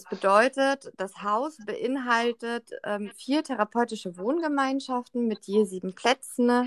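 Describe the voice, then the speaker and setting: Here a woman has a normal speaking voice, pitched fairly high with ordinary pitch variation. She speaks at a fairly slow pace, and the sound is dry and close with no echo. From Berlin. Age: 20s. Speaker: social care worker. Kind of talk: interview.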